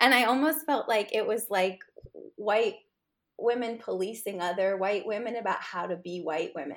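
With an American accent, a woman talks at a moderate pace in a fairly high pitch, using ordinary pitch variation. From New York City, Upper East Side. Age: 40s. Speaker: food writer and cookbook author. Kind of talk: casual chat.

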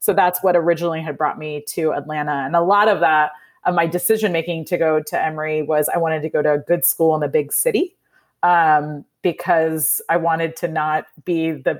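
In a Midwestern American accent, a woman speaks with a fairly low pitch. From US Midwest, Indiana. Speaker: nonprofit founder and CEO. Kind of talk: interview conversation.

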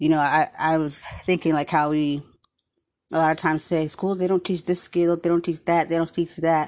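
A woman speaks with a very deep, low pitch at a moderate pace. The background is quiet. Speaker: podcast host. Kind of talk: casual monologue.

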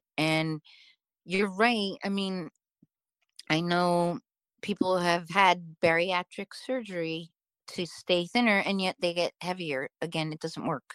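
Speaking at a very slow pace with long, frequent pauses, a woman has a fairly low pitch and ordinary pitch variation. The sound is dry and close with no echo, in a very clean recording with a silent background. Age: 50s. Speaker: writer and former actress. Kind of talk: casual chat.

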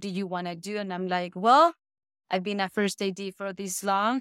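The voice carries a Spanish accent. The sound is dry and close with no echo, in a very clean recording with a silent background. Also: woman. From Venezuela, Caracas. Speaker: filmmaker and fine artist. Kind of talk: casual interview conversation.

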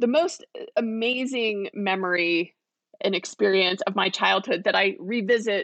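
The sound is dry and close, without echo. A woman talks at a medium pitch with ordinary variation. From Southern California, Lancaster. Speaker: county supervisor. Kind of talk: interview.

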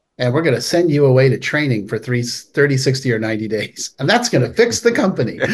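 Here a man with an American accent speaks at a fairly quick pace with hardly any pauses. His medium-pitched voice is somewhat breathy. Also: ordinary pitch variation. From California (Palo Alto). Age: 50s. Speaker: addiction recovery author and founder. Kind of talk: interview.

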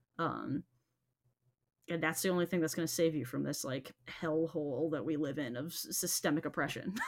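A woman with a very deep, low voice talks at a fairly quick pace, with fairly even intonation and long, frequent pauses. The recording is very clean, with a silent background. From Los Angeles, US. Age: 20s. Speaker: folklorist and PhD candidate. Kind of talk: casual interview.

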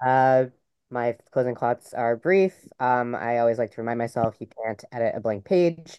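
A man talks in a normal speaking voice at medium pitch. His pace is moderate and his pitch varies in an ordinary way. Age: 30s. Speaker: young adult novelist. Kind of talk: live webinar panel discussion. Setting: live webinar with chat.

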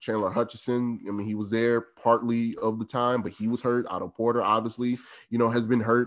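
The recording is very clean with a silent background as a medium-pitched man speaks at a fairly quick pace. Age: 20s. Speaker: sports podcast producer. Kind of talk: casual sports chat.

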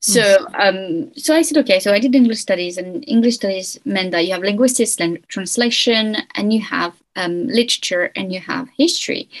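In a French accent, a woman speaks at a fairly quick pace with hardly any pauses, a fairly high pitch, and lively intonation. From France. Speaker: historian. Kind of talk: interview.

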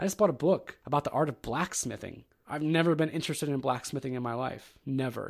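In a very clean recording with a silent background, a man with an American accent talks at a fairly quick pace with hardly any pauses. His is a normal speaking voice, fairly high in pitch, with ordinary pitch variation. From Ohio. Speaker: podcast host. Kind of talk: solo monologue podcast. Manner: casual.

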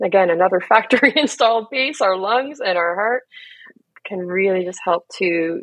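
Speaking at a moderate pace with lively intonation, a woman with a Canadian accent has an ordinary speaking voice and a medium pitch. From Canada, Toronto. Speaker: grief coach. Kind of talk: guided meditation; casual interview.

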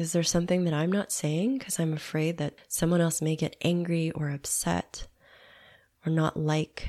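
The voice has a dark, mellow tone and fairly even intonation, captured in a very clean recording with a silent background. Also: woman. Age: 40s. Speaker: podcast host, mindfulness guide. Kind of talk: guided meditation. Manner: slow; soft-spoken.

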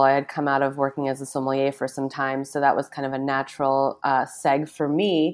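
Against a silent background, the recording is very clean. A woman speaks fairly quickly on it. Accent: American. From Massachusetts, Newburyport (and New York City). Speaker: food and wine writer. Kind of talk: interview conversation.

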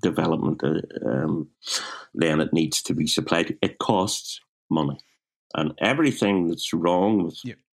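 A man with a Belfast accent speaks at a moderate pace in a very deep, low pitch. His intonation is lively, with vocal fry. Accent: Belfast Northern Irish. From Northern Ireland, West Belfast. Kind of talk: casual interview. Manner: halting, repetitive.

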